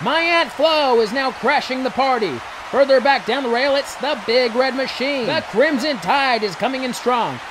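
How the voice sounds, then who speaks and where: Noticeable background noise beneath a man's extremely high voice. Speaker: narrator. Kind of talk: comedic horse race commentary. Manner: fast, excited.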